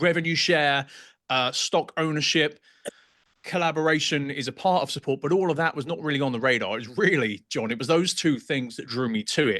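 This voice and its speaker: In a strong British accent, a man speaks at a fairly quick pace with a fairly high pitch, a bright, sharp tone and ordinary pitch variation. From England. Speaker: real estate agent. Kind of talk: podcast interview.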